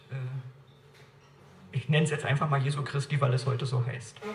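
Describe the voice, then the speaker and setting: Fairly high-pitched and somewhat breathy, a man speaks amid audible room echo. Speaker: evangelist and church speaker. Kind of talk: lecture. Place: church. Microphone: camera far.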